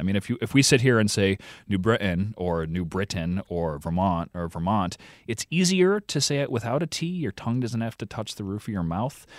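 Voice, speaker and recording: With an ordinary speaking voice, a man talks at a fairly quick pace in a fairly low pitch, his intonation lively and the sound dry and close with no echo. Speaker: podcast co-host reporting on accents. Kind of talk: interview.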